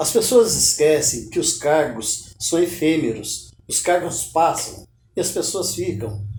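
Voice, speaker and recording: A man's fairly high voice with vocal fry and very wide pitch swings, at a very slow pace amid audible room echo. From Brazil, Minas Gerais. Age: 70s. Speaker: writer. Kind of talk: interview.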